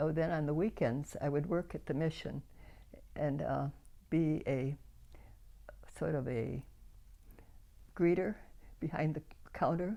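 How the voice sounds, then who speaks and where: Speaking with an Upper Midwest accent, a woman uses a very deep, low pitch, a dark, mellow tone and vocal fry, with ordinary pitch variation, a fairly slow pace and long, frequent pauses. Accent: Upper Midwest American. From Grand Rapids, Michigan, USA. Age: 90s. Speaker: church volunteer and prayer warrior. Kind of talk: interview answer.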